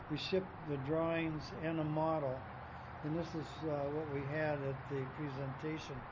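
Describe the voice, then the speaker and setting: Noticeable background noise sits behind a man with a fairly high pitch. He talks at a fairly slow pace with monotone, flat intonation. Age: 80s+. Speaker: sculptor. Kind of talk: interview. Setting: outdoors.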